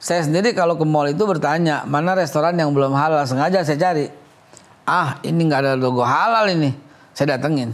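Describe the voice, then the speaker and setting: An animated tone with a Jakarta accent, ordinary pitch variation, a fairly quick pace and audible room echo. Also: man. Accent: Betawi. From Jakarta, Betawi. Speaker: head of a government agency. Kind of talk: TV interview.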